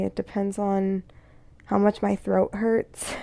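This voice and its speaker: The recording is dry and close, with no echo. A woman talks at a moderate pace. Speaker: voice actor and content creator. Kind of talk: casual Q&A vlog. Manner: hesitant, many fillers.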